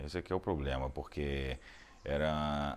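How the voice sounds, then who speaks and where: Very deep and low in pitch, a man talks with a Rio de Janeiro accent. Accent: Rio de Janeiro Brazilian Portuguese. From Rio de Janeiro, Brazil. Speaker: opera baritone singer. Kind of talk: interview answer.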